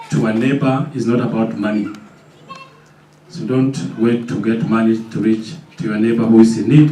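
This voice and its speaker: The speech has long, frequent pauses. There is audible room echo and noticeable background noise. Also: man, medium pitch for a man, ordinary pitch variation, moderate pace. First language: non-English mother tongue. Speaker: event moderator. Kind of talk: event moderation.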